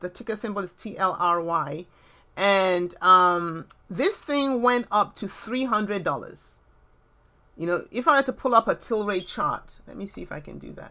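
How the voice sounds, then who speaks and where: A bright, sharp tone with lively intonation and big swings in loudness, at a moderate pace, in a very clean recording with a silent background. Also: woman, medium pitch for a woman. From Nigeria, also UK. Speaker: crypto trading youtuber. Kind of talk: live stream Q&A. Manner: casual, filler-heavy.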